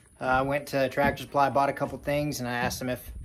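There's a man talking here. Behind him, background noise is noticeable. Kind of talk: casual vlog chat. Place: farm machine. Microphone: phone near.

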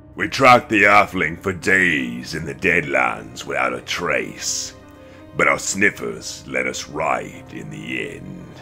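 A man's put-on character voice at a fairly slow pace, over clear music in the background.

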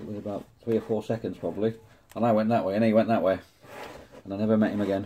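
A man with an English accent talks very fast at a fairly low pitch, in a monotone, flat intonation. Long, frequent pauses break his speech, with light background noise behind him. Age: 50s. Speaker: model-building YouTuber. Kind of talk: hobby tutorial; casual build tutorial chat. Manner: casual, chatty. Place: workshop. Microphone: phone near.

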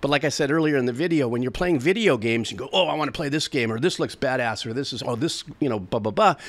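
A man speaks very fast with hardly any pauses. His fairly high voice has lively intonation. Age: 60s. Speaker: music reaction streamer; music reaction youtuber. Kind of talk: casual monologue to camera; casual vlog chat. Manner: rambling, stream of consciousness. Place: home room. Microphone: studio mic.

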